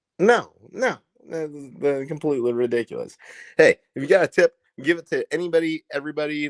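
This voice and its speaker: A man talks at a fairly quick pace with a rural Indiana accent. The sound is dry and close, with no echo. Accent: Indiana accent, rural Midwestern. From Indiana, US. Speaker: live streamer. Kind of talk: casual live stream chat. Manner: animated, repetitive stammering.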